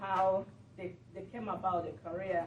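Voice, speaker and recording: This woman has a medium pitch and speaks at a moderate pace. Noticeable background noise and audible room echo are present. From Nigeria. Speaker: community TV talk show host. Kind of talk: speech at a meeting. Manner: halting.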